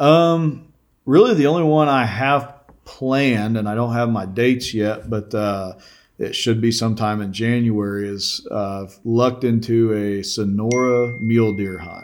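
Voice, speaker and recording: With an American accent, an ordinary speaking voice moves at a fairly slow pace with ordinary pitch variation. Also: man, medium pitch for a man. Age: 30s. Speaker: outdoor video production company owner. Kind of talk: casual chat.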